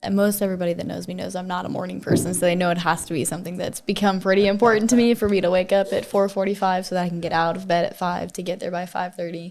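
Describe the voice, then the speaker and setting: An ordinary speaking voice from a woman, medium in pitch with fairly even intonation, on a very clean recording with a silent background. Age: 20s. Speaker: gym member. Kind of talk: casual chat.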